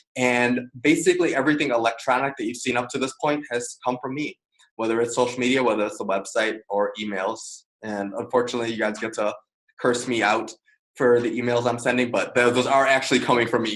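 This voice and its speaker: Delivered at a very fast pace with fairly even intonation, the speech comes in an American accent. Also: man, medium pitch for a man. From Chicago. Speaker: media specialist and trainer. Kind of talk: webinar presentation. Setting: video call webinar.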